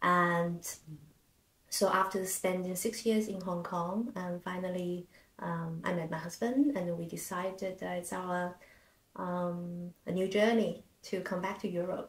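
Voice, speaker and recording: A woman with a Chinese accent speaks in a somewhat breathy voice at medium pitch. Her pace is fairly slow and her intonation fairly even. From China. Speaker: podcast co-host, concert pianist. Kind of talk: casual interview chat.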